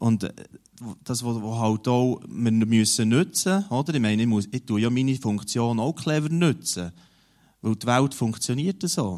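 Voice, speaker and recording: In a normal speaking voice at medium pitch, a man talks at a fairly slow pace with lively intonation. The recording is very clean, with a silent background. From Switzerland, Emmental region (Bern). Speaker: newspaper editor-in-chief. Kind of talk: interview in a church service.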